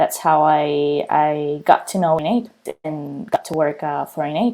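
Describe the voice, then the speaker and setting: Speaking with a Spanish accent, a woman has a very deep, low pitch and a dark, mellow tone, with ordinary pitch variation at a fairly slow pace. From Spain, Barcelona. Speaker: client success manager, civil engineer. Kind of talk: career interview testimony. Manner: frequent fillers and hesitations.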